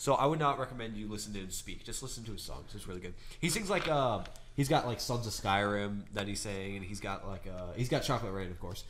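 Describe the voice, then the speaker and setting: A man talks at a very fast pace with fairly low pitch and ordinary pitch variation. His loudness swings widely, and the room echo is audible. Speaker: podcast co-host. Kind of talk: casual chat. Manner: halting, many fillers.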